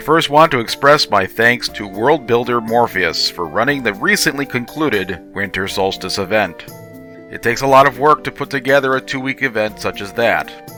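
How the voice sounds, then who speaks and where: Over music in the background, a man talks at a moderate pace and medium pitch with lively intonation. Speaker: game update host. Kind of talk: game development update narration.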